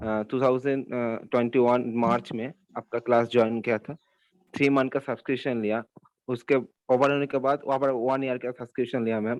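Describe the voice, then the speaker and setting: Medium in pitch and monotone, flat in intonation, a man talks at a moderate pace. The sound is dry and close, with no echo. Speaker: exam achiever student. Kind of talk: testimony. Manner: halting.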